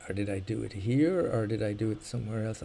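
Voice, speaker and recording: In an Irish accent, a man speaks at a moderate pace with a fairly low pitch, a dark, mellow tone and ordinary pitch variation. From Ireland. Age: old. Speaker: video game streamer. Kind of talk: live gameplay commentary. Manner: casual, rambling with hesitations.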